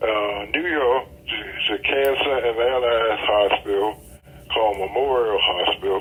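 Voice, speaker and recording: A man speaks with an American accent at a medium pitch. Noticeable background noise can be heard. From Georgia, USA. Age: 80s+. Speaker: pediatric surgeon. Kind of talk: interview answer.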